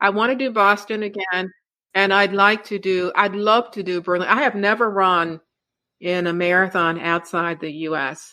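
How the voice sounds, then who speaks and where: On a very clean recording with a silent background, a woman with an American accent and a bright, sharp tone speaks at a moderate pace and medium pitch with ordinary pitch variation. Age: 70s. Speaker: retired educator and marathon runner. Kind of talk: interview answer.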